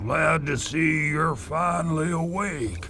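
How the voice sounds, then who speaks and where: A put-on character voice comes at a fairly slow pace. Background noise is clearly heard. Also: man, fairly high pitch for a man. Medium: video game. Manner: rambling, folksy, self-amused.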